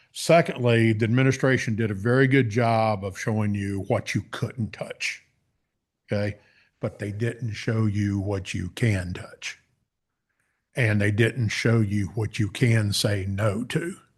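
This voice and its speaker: Against a quiet background, a man talks in a fairly low pitch with ordinary pitch variation. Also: fairly slow pace. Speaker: public commenter at county meeting. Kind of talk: public comment. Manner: loud.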